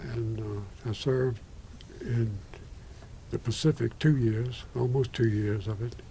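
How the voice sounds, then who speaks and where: The man's intonation stays fairly even, his voice somewhat breathy, and he talks at a fairly slow pace. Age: 80s+. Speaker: retired Methodist minister and war veteran. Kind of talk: oral history interview. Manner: halting.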